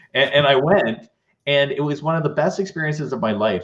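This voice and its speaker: This man's voice is fairly high and somewhat breathy. His intonation is lively. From Canada. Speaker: leadership speaker. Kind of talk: interview conversation. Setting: live online show.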